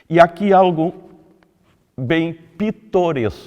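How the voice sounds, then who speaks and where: Dark, mellow tone from a man against a quiet background. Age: 80s+. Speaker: retired politician. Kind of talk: political commentary monologue. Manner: formal.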